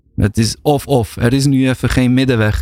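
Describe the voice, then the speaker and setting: Here a man talks at a fairly slow pace and a medium pitch. He has an unremarkable speaking voice. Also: dry, close sound with no echo, very clean recording, silent background. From Bosnia (former Yugoslavia). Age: 40s. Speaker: researcher and lecturer. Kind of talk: casual chat. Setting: studio.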